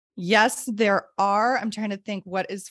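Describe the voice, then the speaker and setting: With an American accent and an unremarkable speaking voice, a woman of medium pitch talks at a fairly slow pace, the sound dry and close with no echo on a very clean recording with a silent background. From US Midwest. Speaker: podcast co-host and educator. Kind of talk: casual chat.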